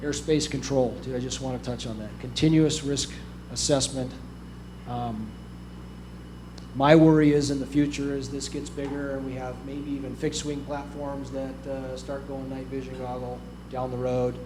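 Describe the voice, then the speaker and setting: Big swings in loudness mark a man's speech at a moderate pace. Audible room echo is present. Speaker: aerial firefighting officer. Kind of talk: conference presentation.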